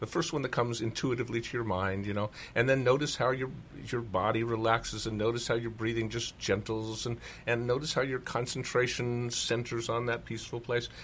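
On a very clean recording with a silent background, a man with medium pitch and fairly even intonation speaks in a plain, everyday voice. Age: 60s. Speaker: speaker and author. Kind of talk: interview about his talks and practice.

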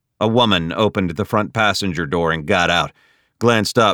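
The background is quiet. It is plain reading aloud with ordinary pitch variation.

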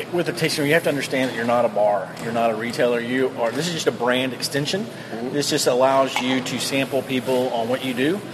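A man rattles off words very fast at a medium pitch, with noticeable background noise behind him. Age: 40s. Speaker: brewery owner. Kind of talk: casual interview. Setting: on location at a brewery. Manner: halting.

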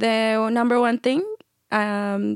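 A woman speaks at a fairly high pitch with a Mexican accent. The recording is very clean, the background silent. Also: dry, close sound with no echo. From Chihuahua, Mexico. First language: Spanish. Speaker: entrepreneur. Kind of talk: interview. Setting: studio.

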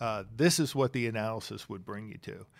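A man speaks in a plain, everyday voice with an American accent and ordinary pitch variation. The recording is very clean, with a silent background. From Pennsylvania, Bucks County. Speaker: chief investment officer. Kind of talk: interview.

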